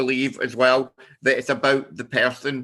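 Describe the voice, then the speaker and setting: Bright and sharp in tone, a man's voice sits at a medium pitch. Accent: Scottish. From Scotland. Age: 50s. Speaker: business networking founder. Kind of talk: personal presentation. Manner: halting.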